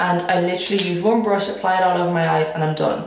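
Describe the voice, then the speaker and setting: Noticeable background noise and audible room echo accompany this recording. A woman speaks at a fairly quick pace and fairly low pitch, her intonation fairly even. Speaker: beauty vlogger. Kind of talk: makeup tutorial. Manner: casual chatty.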